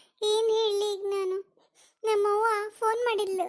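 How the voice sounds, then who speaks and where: A woman performs a cartoonish character voice at an extremely high pitch with monotone, flat intonation. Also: fairly slow pace. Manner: chatty, cheeky.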